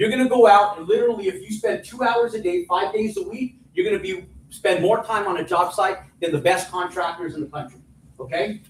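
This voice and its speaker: A loud, high-pitched man at a fairly quick pace amid noticeable background noise. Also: ordinary pitch variation. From New Mexico. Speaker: real estate developer and teacher. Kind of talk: live seminar talk. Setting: stage with audience. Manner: animated.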